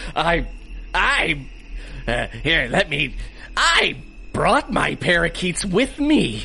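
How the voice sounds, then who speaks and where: A man puts on a high-pitched character voice, speaking very slowly with long, frequent pauses over clear background noise. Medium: audio drama. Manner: theatrical, blustering.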